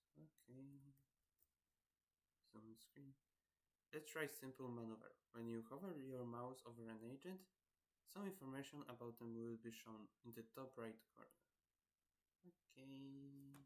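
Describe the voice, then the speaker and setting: A man speaks quietly at a fairly slow pace, with long, frequent pauses. His pitch is medium and its variation ordinary. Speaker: gaming streamer. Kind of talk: let's play commentary, reading game tutorial aloud. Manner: halting.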